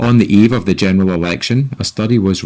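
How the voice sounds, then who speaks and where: A man with a Scottish accent speaks with ordinary pitch variation. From Scotland. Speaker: podcast host. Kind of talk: scripted commentary.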